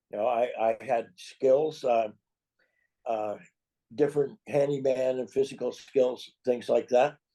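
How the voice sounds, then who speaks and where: An American-accented man speaks at a fairly slow pace with a dark, mellow tone. His intonation stays fairly even, and he takes long, frequent pauses. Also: medium pitch for a man. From US Pacific Northwest, Seattle. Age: 80s+. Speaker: author and illustrator. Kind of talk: interview. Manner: halting.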